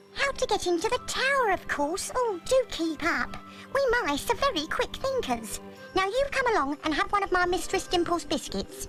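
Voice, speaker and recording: A cartoonish character voice that sounds female, pitched extremely high, moves at a moderate pace over clear background music. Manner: brisk, fussy.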